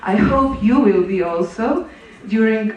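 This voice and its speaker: Through audible room echo and noticeable background noise, a woman speaks very slowly in a fairly high pitch with lively intonation. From Slovenia. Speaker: conference presenter. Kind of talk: conference presentation. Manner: halting, many fillers.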